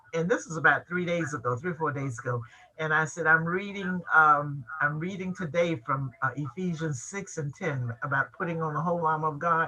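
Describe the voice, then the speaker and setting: A woman's very deep, low voice at a fairly quick pace, with hardly any pauses, ordinary pitch variation, and noticeable background noise. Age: 80s+. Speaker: journalist. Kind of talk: panel discussion. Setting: video call.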